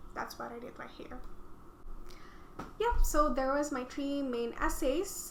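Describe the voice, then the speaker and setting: A woman's raised, projected voice with an Indonesian accent and ordinary pitch variation, amid audible room echo and noticeable background noise. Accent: non-native English, Indonesian. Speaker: student vlogger. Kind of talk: reading aloud own essays with commentary. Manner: hesitant, many fillers and restarts.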